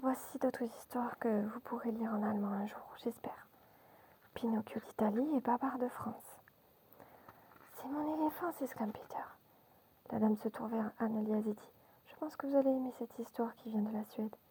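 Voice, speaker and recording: A woman's soothing whispering, with big swings in loudness and long, frequent pauses. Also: moderate pace. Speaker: ASMR storyteller. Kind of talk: children's bedtime story reading. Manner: whispered, soothing.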